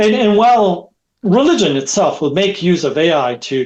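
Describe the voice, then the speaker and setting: This is a man speaking. He has a French accent. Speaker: technology expert. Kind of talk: podcast interview. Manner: halting.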